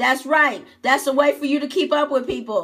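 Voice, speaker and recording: Loud and animated, a woman talks at a high pitch with ordinary pitch variation. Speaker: online business coach. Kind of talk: live-streamed tutorial.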